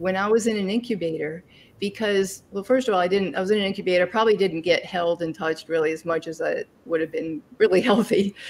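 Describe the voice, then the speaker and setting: This woman speaks at a fairly quick pace. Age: 60s. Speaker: interview guest, life coach and adoption alum. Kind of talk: interview. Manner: halting, with many fillers.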